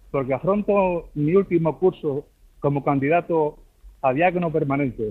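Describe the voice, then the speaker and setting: Delivered at a moderate pace, the speech keeps very even loudness and ordinary pitch variation. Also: man, fairly high pitch for a man. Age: 50s. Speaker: deacon candidate, caller. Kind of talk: phone-in call. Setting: phone call.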